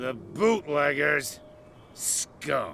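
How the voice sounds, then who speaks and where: A man puts on a raspy character voice with a fairly high pitch over clear background noise. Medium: video game.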